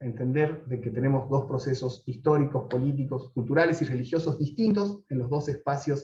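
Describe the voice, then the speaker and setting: With hardly any pauses, a man speaks at a fairly high pitch in a dark, mellow, somewhat breathy tone. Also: ordinary pitch variation. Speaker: political scientist lecturer. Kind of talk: lecture. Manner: fast.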